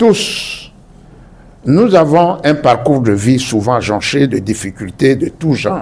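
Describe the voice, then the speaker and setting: A man with an Ivorian accent speaks at a very slow pace, at a medium pitch. His pitch swings very widely, and there is noticeable background noise. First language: Baoulé (speaking French). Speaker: author. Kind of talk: formal speech. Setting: bookshop event hall with audience. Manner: formal.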